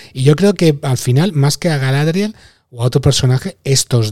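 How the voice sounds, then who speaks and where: His dark, mellow tone is somewhat breathy as this man speaks at a moderate pace with ordinary pitch variation. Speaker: podcast host. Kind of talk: casual chat.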